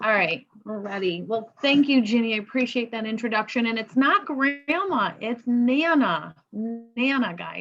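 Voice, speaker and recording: Lively intonation at a fairly slow pace, in a plain, everyday voice. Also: woman. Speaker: cosmetologist. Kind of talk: product presentation.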